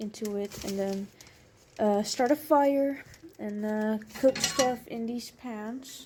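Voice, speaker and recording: At a very slow pace, a woman talks with a fairly high pitch and a dark, mellow tone. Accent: Dutch. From Netherlands. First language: Dutch. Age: 20s. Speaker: vlogger. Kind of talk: casual apartment tour. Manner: hesitant with fillers.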